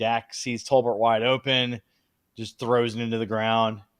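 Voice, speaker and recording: A man with a medium pitch. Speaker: podcast co-host. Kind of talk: casual chat. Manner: loud.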